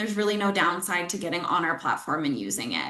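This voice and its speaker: The voice has a bright, sharp tone and lively intonation, with audible room echo. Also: woman. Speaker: software company presenter. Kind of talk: webinar product demo.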